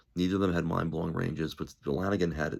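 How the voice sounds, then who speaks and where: A man's very deep, low voice carries vocal fry. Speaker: musician and music commentator. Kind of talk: casual monologue. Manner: halting, many fillers; enthusiastic.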